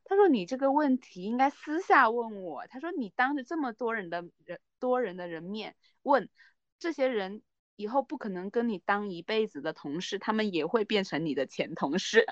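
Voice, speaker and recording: Against a quiet background, a woman speaks at a moderate pace with very wide pitch swings and big swings in loudness. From Guangdong, outside the Pearl River Delta. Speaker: podcast co-host. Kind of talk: casual chat.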